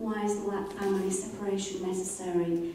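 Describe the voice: A woman's dark, mellow tone at medium pitch, heard with strong room echo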